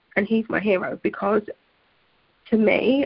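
Speaking at a fairly slow pace, a woman at medium pitch shows vocal fry and ordinary pitch variation. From UK. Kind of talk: interview.

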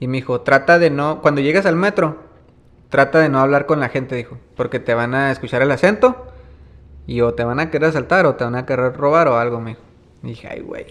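A man speaks in an ordinary speaking voice at a fairly quick pace, with fairly high pitch and ordinary pitch variation. His loudness swings widely. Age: 30s. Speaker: musician and music producer. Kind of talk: casual interview. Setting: small snack shop. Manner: relaxed, colloquial.

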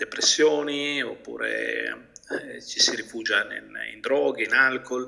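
A man talks over noticeable background noise. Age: 50s. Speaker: business mentor and trainer. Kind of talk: interview.

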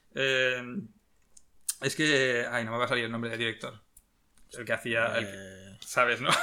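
This man has a bright, sharp tone and fairly even intonation, speaking at a moderate pace with long, frequent pauses and big swings in loudness. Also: medium pitch for a man. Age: 40s. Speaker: podcast host. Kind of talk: casual chat.

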